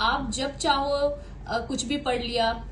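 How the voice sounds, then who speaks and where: Noticeable background noise mixed with audible room echo. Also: woman. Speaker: exam topper giving study advice. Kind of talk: tutorial. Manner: casual, conversational.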